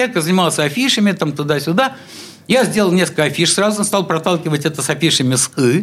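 A high-pitched man with lively intonation at a very fast pace. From St Petersburg (Leningrad), Russia. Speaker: artist and musician. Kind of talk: radio interview. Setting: radio studio.

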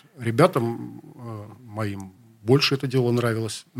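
This man has a medium pitch and a plain, everyday voice. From Leningrad, city centre. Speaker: rock musician. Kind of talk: interview. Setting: radio studio.

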